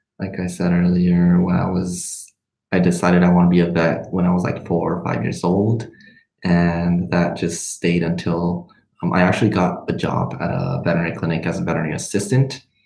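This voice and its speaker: With a Spanish accent, a man speaks at a very deep, low pitch. Audible room echo surrounds his voice. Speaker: medical student vlogger. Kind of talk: livestream Q&A chat. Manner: hesitant, many fillers.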